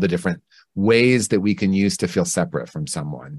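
Against a quiet background, a man speaks at a very deep, low pitch with ordinary pitch variation. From Indiana, US Midwest. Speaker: clinician and author. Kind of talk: interview.

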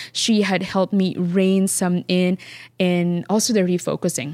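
A dark, mellow tone with a Filipino accent. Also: woman. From Philippines. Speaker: flower farmer and business owner. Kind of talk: interview.

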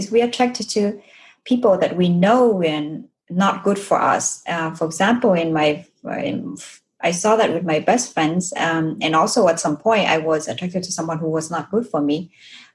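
Speaking with a Vietnamese accent, a woman has a fairly low, somewhat breathy voice with ordinary pitch variation. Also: moderate pace. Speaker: podcast host. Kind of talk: interview.

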